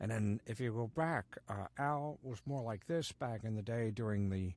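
A man speaks with lively intonation. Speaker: voice actor. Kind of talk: casual chat. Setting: video call. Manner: animated.

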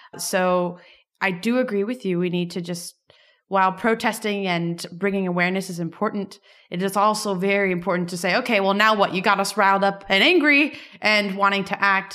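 With music in the background, a woman speaks in an American accent at a fairly quick pace, her medium pitch held to fairly even intonation. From US, Miami. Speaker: podcast co-host, startup co-founder. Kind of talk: interview. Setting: at a tech conference.

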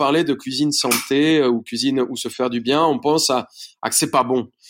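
A man talks fairly slowly in a medium register, his intonation fairly even. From Colombia, Bogota. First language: Spanish (speaking French). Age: 30s. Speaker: chef. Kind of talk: interview. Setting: remote recording.

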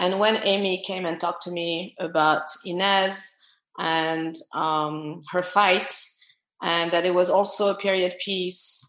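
A woman with a French accent talks at a fairly slow pace, her intonation fairly even. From France. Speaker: film producer. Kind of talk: casual interview chat.

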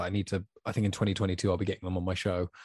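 Over a quiet background, a man with a British accent speaks in a fairly low voice. His intonation is monotone and flat. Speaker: podcast host. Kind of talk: casual chat. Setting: in person with guest. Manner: talkative.

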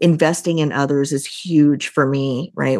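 A woman's very deep, low-pitched voice in a Midwestern American accent, with fairly even intonation. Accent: General Midwestern American. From US Midwest. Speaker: leadership consultant and company CEO. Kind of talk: casual interview conversation.

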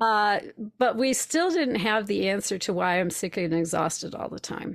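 A plain, everyday voice speaks in an American accent at a fairly slow pace. The recording is very clean, with a silent background. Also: woman. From Minnesota, Twin Cities. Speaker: spiritual coach. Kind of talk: interview storytelling.

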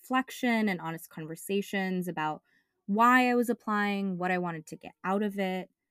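A woman's ordinary speaking voice with ordinary pitch variation, in a dry, close sound with no echo on a very clean recording with a silent background. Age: 20s. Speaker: podcast co-host and doctoral student. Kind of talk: casual chat.

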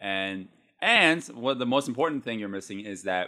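On a very clean recording with a silent background, a man speaks at a fairly low pitch in a bright, sharp tone. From Chinese household, grew up on Hong Kong TV. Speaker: martial arts movie podcast host. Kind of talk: casual chat.

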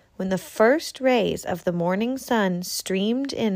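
Someone reads in a natural reading voice, the pitch varying in an ordinary way.

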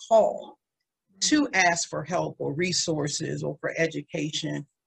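With an American accent, a woman speaks with vocal fry in a dry, close sound with no echo. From Washington, D.C. area (Maryland). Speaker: speaker and domestic violence survivor advocate. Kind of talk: interview.

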